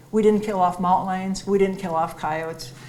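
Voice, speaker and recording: Against audible room echo, a woman with a dark, mellow tone and medium pitch speaks at a fairly quick pace with ordinary pitch variation. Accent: Minnesotan. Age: 70s. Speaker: wildlife biologist. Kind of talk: public lecture with slides.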